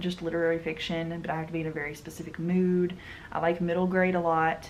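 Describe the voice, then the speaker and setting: Audible room echo surrounds a woman with a strong Southern US accent and a fairly low pitch. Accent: thick southern US. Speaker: book and manga vlogger. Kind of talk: casual chat.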